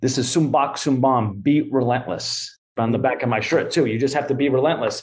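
A somewhat breathy, medium-pitched male voice with a Boston accent, fairly even intonation, a fairly quick pace and hardly any pauses. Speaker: author and Thai boxer. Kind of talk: interview.

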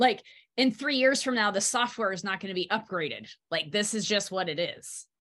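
Against a quiet background, a woman speaks at a fairly quick pace and medium pitch, with an animated tone and ordinary pitch variation. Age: 40s. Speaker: wellness podcast host. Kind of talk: casual interview.

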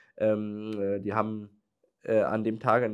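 A man is speaking. His pitch is medium. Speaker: entrepreneur and podcast host. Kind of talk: solo podcast monologue.

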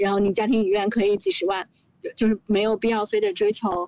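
A woman at a medium pitch and a very fast pace, with ordinary pitch variation and a dry, close sound with no echo. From Beijing. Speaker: founder of a cultural video brand. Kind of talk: casual chat. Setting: outdoor terrace in Beijing hutong courtyard.

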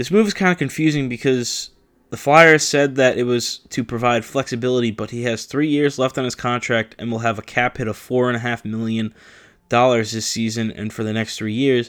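In a very clean recording with a silent background, a man with an American accent speaks at a fairly quick pace and medium pitch, with ordinary pitch variation and an unremarkable speaking voice. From New Jersey. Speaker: sports podcast host. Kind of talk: solo sports talk monologue. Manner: casual, with many fillers (uh, um).

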